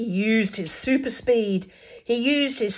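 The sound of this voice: The reading voice sounds unforced, and its pitch moves in an ordinary way.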